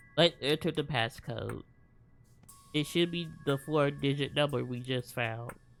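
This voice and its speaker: With music in the background, a man speaks at a fairly slow pace in a fairly high pitch with fairly even intonation. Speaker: gaming streamer. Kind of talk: let's play commentary. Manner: reads game dialogue aloud.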